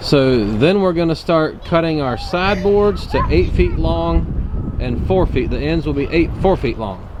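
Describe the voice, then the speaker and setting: A man with a Virginia accent speaks at a fairly slow pace. Audible room echo and noticeable background noise are present. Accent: Southern US (Virginia). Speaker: farmer. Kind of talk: tutorial. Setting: outdoors. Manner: loud.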